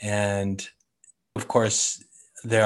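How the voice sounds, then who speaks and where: In a very clean recording with a silent background, a man with an American accent speaks very slowly. His pitch is fairly low and his intonation monotone and flat. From San Francisco, California. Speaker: artist, sketching group organizer. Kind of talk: casual interview.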